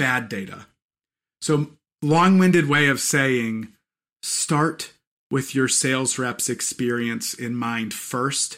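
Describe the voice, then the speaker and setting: A man's fairly high voice with a bright, sharp tone, an American accent and ordinary pitch variation, on a very clean recording with a silent background. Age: 40s. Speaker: podcast host, sales leadership. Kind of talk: casual chat.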